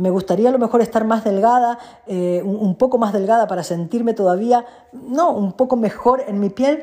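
Noticeable background noise runs under a woman speaking at a fairly high pitch. Her tone is animated, with ordinary pitch variation at a moderate pace. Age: 40s. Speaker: life coach and podcast host. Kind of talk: personal monologue.

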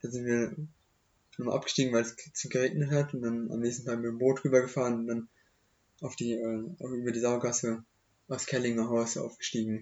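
Speaking at a fairly quick pace with long, frequent pauses, a man keeps a medium pitch and fairly even intonation. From Germany, Hochheim am Main (Hesse). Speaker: young local podcast guest. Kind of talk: casual chat. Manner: halting.

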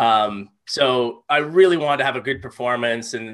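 With a bright, sharp tone, a man talks at medium pitch with ordinary pitch variation, and the background is quiet. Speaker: amateur golfer, former touring pro. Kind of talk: casual chat.

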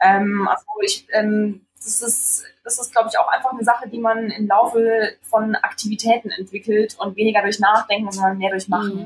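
A woman with a normal speaking voice talks at a moderate pace, her pitch fairly high with ordinary pitch variation. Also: hardly any pauses, big swings in loudness. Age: 20s. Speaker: foundation co-founder and trainee teacher. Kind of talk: interview.

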